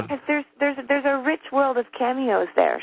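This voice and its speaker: With an American accent, a woman talks at a fairly quick pace. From Texas, USA. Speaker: actress. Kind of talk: interview answer. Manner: casual, chatty.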